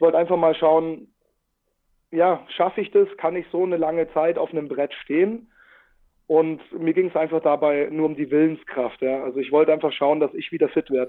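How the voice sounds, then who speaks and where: Here is an ordinary speaking voice: a man at a fairly high pitch, moving at a moderate pace with fairly even intonation. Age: 30s. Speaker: paddleboard adventurer and social worker. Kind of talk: casual interview. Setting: video call.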